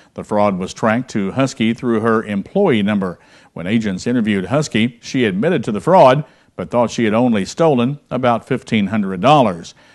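A man talks at a medium pitch and moderate pace with ordinary pitch variation against a quiet background. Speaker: news anchor. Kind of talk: local TV newsreading, polished anchor delivery with a warm sign-off. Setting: studio. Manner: formal; steady, clear. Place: studio.

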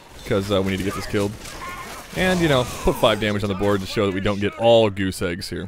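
A man talks at a very fast pace with music playing in the background. His pitch sits fairly low, and his intonation stays fairly even. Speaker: gaming YouTuber. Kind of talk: gameplay commentary. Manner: casual, conversational.

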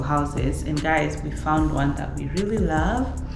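Very slowly, a woman speaks amid audible room echo. Clear music plays in the background. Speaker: homeowner vlogger. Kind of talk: casual house tour vlog. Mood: cheerful, upbeat. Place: empty room. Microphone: camera far.

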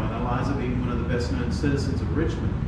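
The recording has audible room echo and loud background noise. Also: man. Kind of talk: interview answer. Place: hall.

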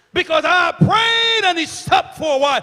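Over faint crowd noise in the background, a man shouts in a raised voice at an extremely high pitch, with a bright, sharp tone, lively intonation and a moderate pace.

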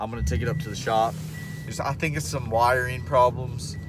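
Noticeable noise in the background behind a male speaker, the sound dry and free of echo. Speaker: fishing vlogger. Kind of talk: casual vlog chat. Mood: mildly frustrated but upbeat. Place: car. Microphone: phone near.

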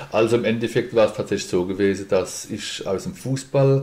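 Here is a man with a normal speaking voice, fairly low in pitch. He goes at a moderate pace with ordinary pitch variation. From Mannheim, Germany. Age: 50s. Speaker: boxing school owner and insurance broker. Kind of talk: podcast interview.

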